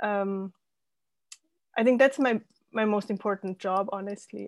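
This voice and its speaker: Recorded very cleanly against a silent background, a woman with a German accent speaks at a moderate pace and medium pitch, the sound dry and close with no echo. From Austria. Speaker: life coach and former scientist. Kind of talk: interview.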